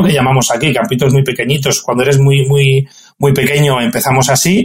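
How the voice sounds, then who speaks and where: This man talks with a Castilian accent in a somewhat breathy voice pitched fairly high. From Extremadura, Spain. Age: 40s. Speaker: football referee. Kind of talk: interview.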